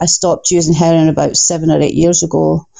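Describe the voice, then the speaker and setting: A woman speaks with a Scottish accent. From Scotland. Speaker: recovery organization worker. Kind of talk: interview. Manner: nervous at first.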